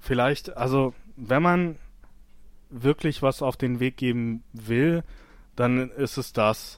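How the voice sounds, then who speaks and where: Captured on a very clean recording with a silent background, a man at medium pitch talks at a very slow pace with ordinary pitch variation and long, frequent pauses. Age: 30s. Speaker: scaffolder. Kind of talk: interview.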